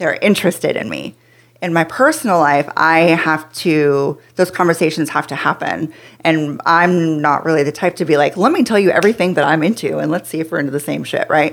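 With an American accent, a woman talks at a fairly quick pace in a fairly low pitch. She has an unremarkable speaking voice with ordinary pitch variation. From US Pacific Northwest. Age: 30s. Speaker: companion, sex worker and yoga teacher. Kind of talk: casual interview chat.

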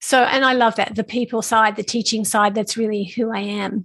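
A plain, everyday voice from a woman, moderate in pace and fairly high in pitch. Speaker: business coach for artists. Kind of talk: interview.

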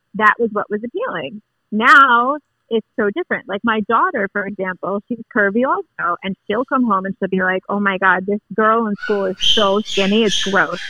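At a moderate pace, a woman talks in an ordinary speaking voice of medium pitch with ordinary pitch variation, in a dry, close sound with no echo. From Long Island, New York. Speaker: listener. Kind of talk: casual chat. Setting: phone call.

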